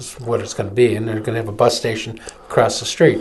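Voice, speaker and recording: A man speaks with an American accent. There is audible room echo in the recording. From Michigan, Flint. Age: 60s. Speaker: political activist and attorney. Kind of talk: opinion commentary; casual chat. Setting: live webcast studio.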